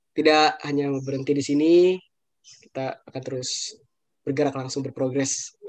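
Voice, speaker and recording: A man's fairly high voice, monotone and flat, at a moderate pace over a quiet background. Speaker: student emcee. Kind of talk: event emcee. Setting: video call. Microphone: video call.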